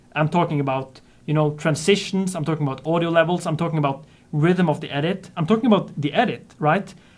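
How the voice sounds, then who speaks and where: Talking very fast, a man with a non-native accent uses a fairly high pitch and ordinary pitch variation. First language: not English. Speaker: 3D artist and YouTube tutorial creator. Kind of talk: casual chat.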